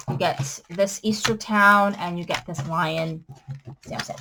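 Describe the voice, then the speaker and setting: A woman's bright, sharp tone comes through over light background noise. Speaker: crafter selling supplies; craft supply seller. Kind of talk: sales pitch. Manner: casual, with fillers. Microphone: webcam.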